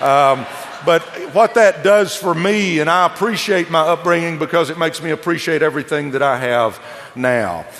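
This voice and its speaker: A man with a Texas accent and a high pitch, ordinary pitch variation, and noticeable background noise. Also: moderate pace. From Texas, southeast Dallas. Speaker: motivational speaker, former coach, network marketer. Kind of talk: motivational speech. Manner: animated.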